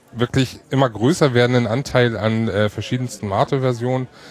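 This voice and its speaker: A man talks in a plain, everyday voice. His pitch is medium and his pace fairly quick. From Hamburg. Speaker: podcast host. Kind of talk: casual chat. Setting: podcaster table at a hacker congress.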